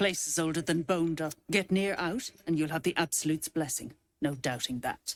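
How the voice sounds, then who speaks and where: In a put-on character voice, a female-sounding speaker uses a gruff, fairly low pitch at a moderate pace. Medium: video game. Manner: gruff, bullying.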